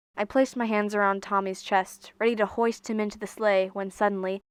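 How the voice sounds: This natural reading voice holds a fairly even intonation.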